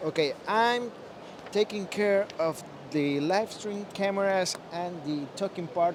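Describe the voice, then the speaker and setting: Against noticeable background noise, a man with a Spanish accent speaks very slowly in a high pitch with ordinary pitch variation. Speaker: live stream host. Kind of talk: live stream chat. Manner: halting.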